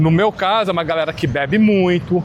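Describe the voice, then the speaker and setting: Over noticeable background noise, a man talks in a high voice with ordinary pitch variation. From Brazil, São Paulo (born in Minas Gerais). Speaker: podcast host. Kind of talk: casual interview chat.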